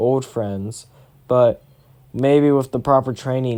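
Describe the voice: Plain reading aloud fills the clip.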